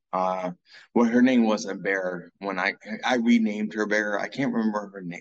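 The man's intonation is fairly even. He talks fairly slowly. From US South, Columbia, South Carolina. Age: 40s. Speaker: person in addiction recovery. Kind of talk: testimony. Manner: halting.

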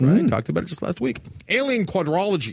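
Speaking at a fairly quick pace, a man shows vocal fry and very wide pitch swings. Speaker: podcast host. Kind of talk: casual chat.

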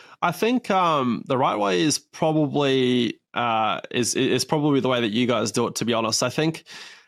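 In an Australian accent, the voice moves at a moderate pace with hardly any pauses, ordinary pitch variation and very even loudness. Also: man, medium pitch for a man. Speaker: racing driver. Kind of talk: casual interview. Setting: video call.

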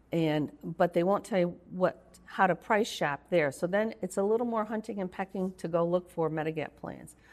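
In a plain, everyday voice, a woman speaks at a fairly low pitch and a moderate pace, with ordinary pitch variation and hardly any pauses. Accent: American. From Rochester, New York. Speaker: healthcare consultant and nurse. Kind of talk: interview.

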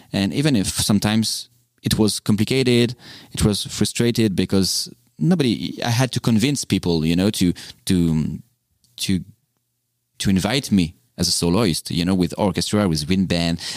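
In a French accent, a man with a fairly low pitch talks at a moderate pace with ordinary pitch variation and long, frequent pauses, on a very clean recording with a silent background. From France. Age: 30s. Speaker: tuba soloist. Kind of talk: casual interview. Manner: halting, hesitant.

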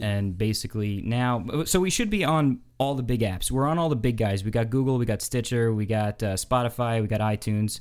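In an American accent, a man of medium pitch speaks at a moderate pace. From New York. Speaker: podcast host.

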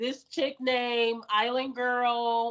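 A woman's high-pitched voice with a Detroit accent, at a very slow pace. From US, Detroit. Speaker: adult film performer and podcaster. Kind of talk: casual chat. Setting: video call.

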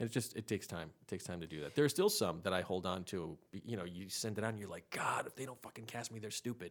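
On a very clean recording with a silent background, a man with a fairly low pitch talks at a very fast pace with hardly any pauses and ordinary pitch variation. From Rhode Island. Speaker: actor and comedian. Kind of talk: casual chat. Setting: studio.

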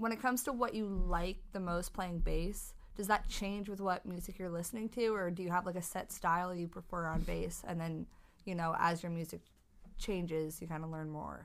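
A woman speaks in a normal speaking voice, pitched fairly low. Her intonation stays fairly even. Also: moderate pace. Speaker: podcast co-host. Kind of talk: casual chat.

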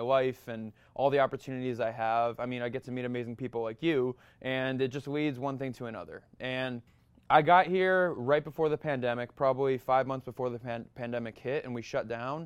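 Against a quiet background, a man with an American accent speaks in a plain, everyday voice at a medium pitch, fairly quick in pace and fairly even in intonation. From Massachusetts. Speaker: model and actor. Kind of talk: interview, casual chat.

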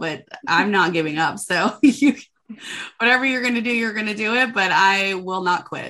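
With lively intonation and a bright, sharp tone, a woman talks in a fairly high pitch with an American accent. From US Midwest, Minnesota. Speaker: country music singer. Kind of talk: interview.

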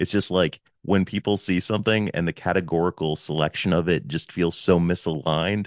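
A man's very deep, low voice at a fairly quick pace, with ordinary pitch variation, over a quiet background in a dry, close sound with no echo. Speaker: podcast host. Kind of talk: casual chat. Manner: loud.

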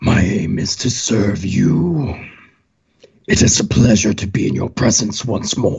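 A man does a put-on character voice, raspy and fairly low in pitch. He speaks at a fairly slow pace. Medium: actual play. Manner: cold, menacing, formal.

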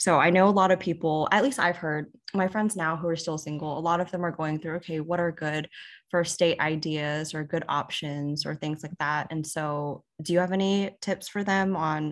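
In a plain, everyday voice, a woman speaks at a fairly low pitch and moderate pace with fairly even intonation, on a very clean recording with a silent background. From Houston, Texas. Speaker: podcast co-host, tech sales worker. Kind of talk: casual chat.

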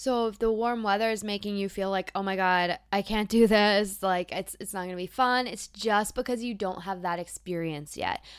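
Her pace is moderate and her pitch sits at a medium level. The speaker is a woman, recorded very cleanly against a silent background. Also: hardly any pauses. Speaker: podcast host. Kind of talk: pep talk. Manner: warm, encouraging; animated, conversational.

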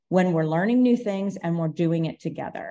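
Over a quiet background, a woman with an American accent speaks at a fairly low pitch in a dark, mellow tone, her pitch varying an ordinary amount. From Ohio, US Midwest. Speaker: education technology manager, former principal. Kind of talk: podcast interview.

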